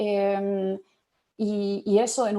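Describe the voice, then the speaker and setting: Recorded very cleanly with a silent background, a woman with a German accent speaks at a medium pitch in a dark, mellow tone. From Germany. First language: German (speaking Spanish). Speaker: panelist, public policy expert. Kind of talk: panel talk. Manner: halting, many fillers.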